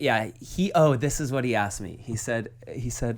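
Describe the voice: Pitch variation is ordinary. The pace is moderate. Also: man, medium pitch for a man.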